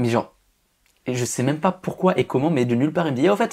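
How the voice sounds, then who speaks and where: A man's fairly high voice at a fairly quick pace with lively intonation. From rural Alsace, France. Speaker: magician. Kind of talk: podcast interview. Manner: over-articulated; casual, informal.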